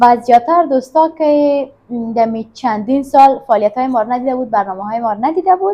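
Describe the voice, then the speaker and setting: Talking at a very fast pace, a woman uses a high pitch and lively intonation. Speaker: YouTube presenter. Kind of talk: casual chat. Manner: fast, talkative.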